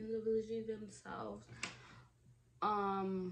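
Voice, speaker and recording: A woman with a medium pitch is heard over noticeable background noise and audible room echo. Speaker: beauty YouTuber. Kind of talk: casual makeup vlog chat. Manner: animated.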